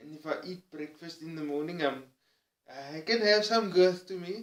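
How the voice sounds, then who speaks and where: This speaker has a Cape Town accent and ordinary pitch variation. The pace is fairly slow. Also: man. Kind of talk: personal vlog monologue.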